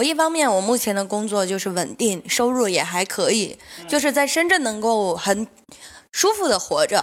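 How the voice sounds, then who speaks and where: A woman at a moderate pace, fairly high in pitch, with very wide pitch swings. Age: 30s. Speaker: stand-up comedian and comedy club owner. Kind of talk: casual chat.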